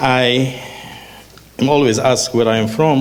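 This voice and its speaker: Over noticeable background noise, a man with an Israeli accent talks at a medium pitch. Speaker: education policy expert. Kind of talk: panel talk.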